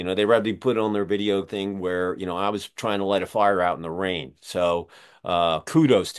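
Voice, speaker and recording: A man with an American accent, a normal speaking voice, fairly low pitch and a moderate pace. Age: 60s. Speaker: podcast host. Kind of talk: casual interview.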